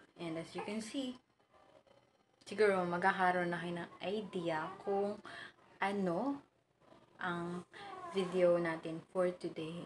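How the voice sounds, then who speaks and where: This woman speaks at a very slow pace with long, frequent pauses. Her pitch is medium. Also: ordinary pitch variation. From Philippines. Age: 20s. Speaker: vlogger, new mother. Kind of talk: casual talk to camera, product haul. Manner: chatty, Taglish code-switching.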